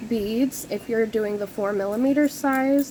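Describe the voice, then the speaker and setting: The speech moves at a moderate pace with ordinary pitch variation, and noticeable background noise is present. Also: woman. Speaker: crafting youtuber. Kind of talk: tutorial. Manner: casual, hesitant with many ums.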